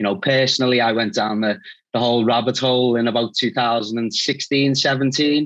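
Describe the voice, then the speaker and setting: A man with a strong Scouse accent speaks at a fairly quick pace. His pitch is medium and his intonation fairly even. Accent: strong Liverpool (Scouse). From northern England, Liverpool. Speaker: recruitment agency founder. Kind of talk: interview.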